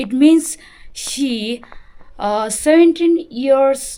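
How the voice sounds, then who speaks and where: A woman with a Tibetan accent, very slow pace and ordinary pitch variation. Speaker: Buddhist nun and vlogger. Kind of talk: vlog introduction. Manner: halting, many fillers.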